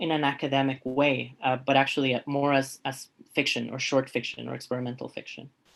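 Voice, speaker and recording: Someone with a non-native accent talks at a moderate pace over a quiet background. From refugee background, grew up in Canada. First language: not English. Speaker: artist and professor. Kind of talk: interview. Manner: halting, repeats words.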